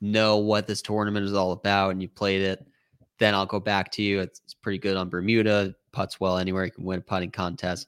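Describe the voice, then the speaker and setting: The man's pitch is fairly low, and his intonation is monotone and flat. He talks at a fairly quick pace. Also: dry, close sound with no echo. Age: 30s. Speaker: golf betting writer. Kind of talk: casual chat.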